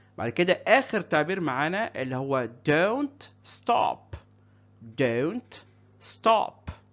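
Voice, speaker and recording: A man with an Egyptian accent and high pitch, at a very slow pace with very wide pitch swings. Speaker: English teacher. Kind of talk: tutorial. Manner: slow, repetitive drilling of phrases.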